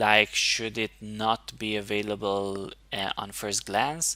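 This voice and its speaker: A man's medium-pitched voice, bright and sharp in tone, at a very slow pace. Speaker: indie game developer. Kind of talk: devlog tutorial. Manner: halting.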